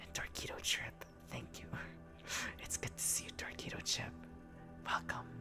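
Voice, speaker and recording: Whispering at a moderate pace, the voice sits over music in the background. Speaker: streamer. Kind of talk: ASMR livestream chat. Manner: stumbles over words.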